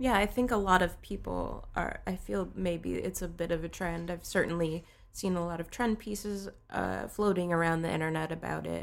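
A woman at a fairly low pitch and moderate pace, ordinary pitch variation, an ordinary speaking voice. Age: 30s. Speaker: social media and content strategist. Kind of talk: casual chat.

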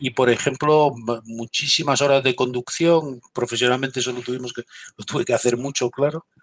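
The speaker has a normal speaking voice, talking at a fairly quick pace with fairly even intonation. The sound is dry and close, with no echo. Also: man, medium pitch for a man. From Galicia, Spain. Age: 50s. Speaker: military intelligence veteran and security consultant. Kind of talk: interview.

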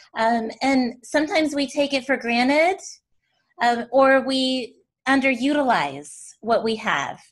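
This woman has a high voice and an American accent. She speaks at a fairly slow pace. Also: ordinary pitch variation. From US South, Tennessee. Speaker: podcast host. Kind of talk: interview.

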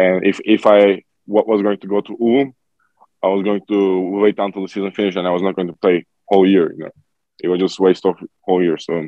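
The speaker talks very fast with a Turkish accent, in a monotone, flat intonation. Long pauses come often. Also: man, fairly low pitch for a man. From Turkey. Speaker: professional basketball player. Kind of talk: interview.

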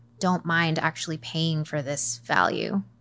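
In a General American accent, a woman with an ordinary speaking voice talks at a fairly low pitch with fairly even intonation over a quiet background. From US, Northern Virginia. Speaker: newborn and family photographer. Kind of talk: interview, casual chat.

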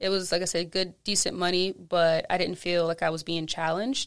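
A woman with an American accent talks at a moderate pace and medium pitch. The recording is very clean, with a silent background. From North Charleston, South Carolina (US South). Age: young. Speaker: food writer and chef. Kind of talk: casual interview. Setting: studio.

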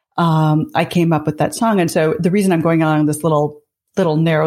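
A woman speaks fairly quickly in an unremarkable speaking voice, fairly low in pitch with ordinary pitch variation. The recording is very clean, with a silent background. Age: 50s. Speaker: business author and management thinker. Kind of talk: interview conversation.

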